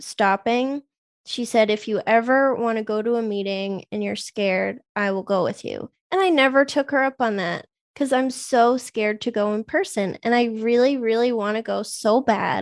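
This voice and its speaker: Against a quiet background, a woman with a fairly high voice talks at a moderate pace with ordinary pitch variation. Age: 30s. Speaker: biochemist, sober-living advocate. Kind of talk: casual chat.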